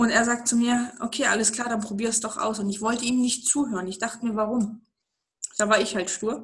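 Speaking at a fairly quick pace, a woman keeps a monotone, flat intonation at a fairly high pitch. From eastern Germany. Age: 30s. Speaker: network marketing entrepreneur. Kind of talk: interview about life story.

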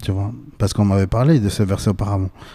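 A man talks at a moderate pace with fairly low pitch. His intonation is fairly even. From Bolivia. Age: 20s. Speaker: podcast host. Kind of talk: casual chat.

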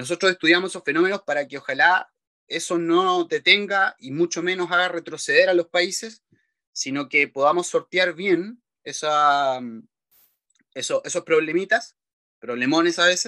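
The recording is dry and close with no echo, as a man with a high pitch speaks at a moderate pace. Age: 30s. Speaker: economist. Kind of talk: interview. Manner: halting, many repetitions.

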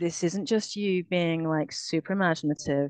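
A woman with a British accent speaks at a moderate pace in a very deep, low pitch with ordinary pitch variation, on a dry, close recording with no echo and a quiet background. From UK. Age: 40s. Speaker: abuse survivor. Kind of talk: testimony. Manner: halting.

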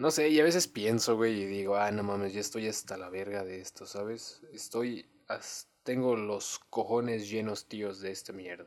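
This man talks at a moderate pace, his pitch moving in an ordinary way. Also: fairly low pitch for a man, hardly any pauses. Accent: Mexican. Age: 20s. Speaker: podcaster. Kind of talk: casual monologue. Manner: halting, many fillers; uneven volume.

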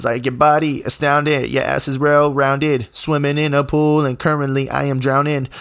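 This man has an unremarkable speaking voice, fairly high in pitch, moving at a moderate pace on a very clean recording with a silent background. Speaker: podcast host and musician. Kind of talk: solo podcast monologue. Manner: casual, many filler words.

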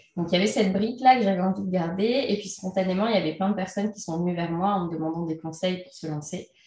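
A woman at a very fast pace with hardly any pauses and ordinary pitch variation, against noticeable background noise. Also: medium pitch for a woman. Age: 30s. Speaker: entrepreneur and freelance trainer. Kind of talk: interview. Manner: hesitant, many fillers.

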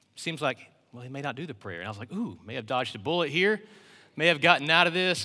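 A man speaks in a high pitch. His tone is bright and sharp. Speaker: worship pastor filling in as preacher. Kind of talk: sermon. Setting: church.

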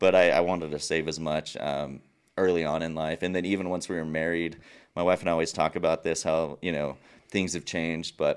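A man with an American accent speaks at a very deep, low pitch in a flat monotone. The recording is very clean, with a silent background. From northern Mexico (Chihuahua). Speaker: entrepreneur and podcast host. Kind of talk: casual interview. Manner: laughs often, relaxed.

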